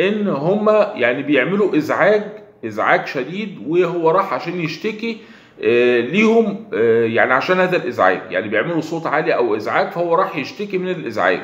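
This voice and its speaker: Moderate pace with an Egyptian accent, very wide pitch swings and audible room echo. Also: man, high pitch for a man. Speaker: online news commentator. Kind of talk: video commentary monologue. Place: home room. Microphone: phone near.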